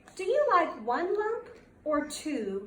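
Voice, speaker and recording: A woman's gruff put-on character voice at extremely high pitch, with very wide pitch swings and audible echo. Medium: read story.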